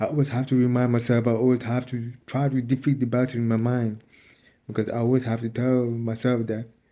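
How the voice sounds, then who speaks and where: This man talks fairly fast. His delivery is flat and monotone. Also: medium pitch for a man. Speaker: spiritual vlogger. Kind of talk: motivational monologue. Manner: repetitive, halting.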